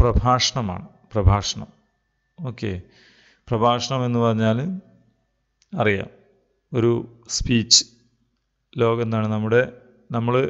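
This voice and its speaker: Here a man uses an ordinary speaking voice at medium pitch with fairly even intonation. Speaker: Arabic teacher. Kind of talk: online class lecture.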